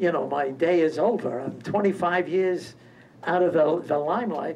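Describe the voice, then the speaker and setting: A man with a high pitch and ordinary pitch variation talks over noticeable background noise. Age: 90s. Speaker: award honoree. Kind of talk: acceptance speech.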